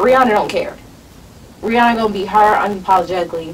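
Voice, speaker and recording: Light background noise sits behind the woman as she speaks. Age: 20s. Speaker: podcast host. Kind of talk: casual chat. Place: studio.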